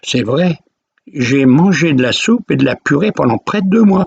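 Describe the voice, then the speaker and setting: This man's fairly high voice moves with lively intonation, and the sound is dry and close with no echo. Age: 80s+. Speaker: retired storyteller vlogger. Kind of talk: personal storytelling. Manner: casual, conversational.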